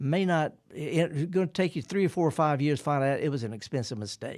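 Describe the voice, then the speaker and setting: Talking at a very fast pace in a Mississippi accent, a man uses a fairly high pitch with ordinary pitch variation. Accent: Mississippi accent, kept. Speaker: horticulturist radio host. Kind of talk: radio call-in show. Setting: radio studio. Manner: laid-back.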